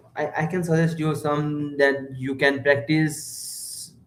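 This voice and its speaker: A man with a Nepali accent and a fairly high pitch, amid audible room echo. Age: 20s. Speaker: stranger on video chat app. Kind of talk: casual chat. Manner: halting.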